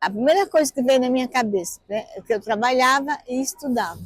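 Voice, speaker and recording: Her voice is high-pitched. The woman keeps a moderate pace. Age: 60s. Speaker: mother of a missing child, activist. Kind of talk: documentary interview testimony.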